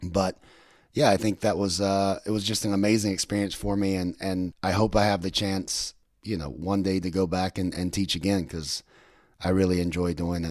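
The man's pitch is very deep and low, with fairly even intonation. The recording is very clean, with a silent background. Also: moderate pace. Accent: American. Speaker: podcast host. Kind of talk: casual chat.

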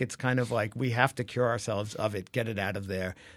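A normal speaking voice moves at a fairly quick pace with ordinary pitch variation. The recording is very clean, the background silent. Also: man. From Brooklyn, New York. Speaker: advertising creative executive. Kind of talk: interview.

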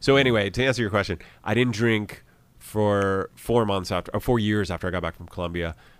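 In a fairly low-pitched, unremarkable speaking voice, a man with an American accent talks at a fairly quick pace with ordinary pitch variation on a very clean recording with a silent background. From US Midwest, Columbus, Ohio. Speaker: musician and actor. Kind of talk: casual chat. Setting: studio.

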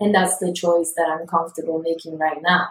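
A woman's fairly low voice in an Italian accent, with monotone, flat intonation. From Italy. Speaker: podcast guest. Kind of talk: casual chat.

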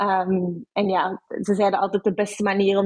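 Monotone, flat delivery at a moderate pace, dry and close with no echo. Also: woman. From Belgium, Brussels. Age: 20s. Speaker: HR professional. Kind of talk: interview. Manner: hesitant, many fillers.

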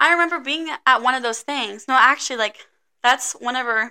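A woman speaks in a raised, projected voice that is bright and sharp. Her tone is animated, her pace fairly quick, and her pitch variation ordinary. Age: 20s. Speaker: college student. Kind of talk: casual chat.

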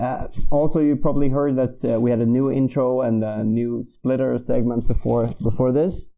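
In an unremarkable speaking voice, a man talks at a moderate pace and medium pitch with fairly even intonation and hardly any pauses. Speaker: music segment presenter. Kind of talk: scripted segment presentation.

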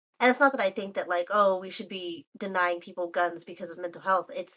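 A quiet woman speaks at a fairly quick pace. She has an American accent. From Texas. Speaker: guest. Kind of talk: casual chat. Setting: voice call.

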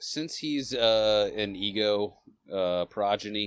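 A man's fairly low voice comes through in a very clean recording against a silent background. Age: 40s. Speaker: podcast co-host filling in, movie reviewer. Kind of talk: casual chat.

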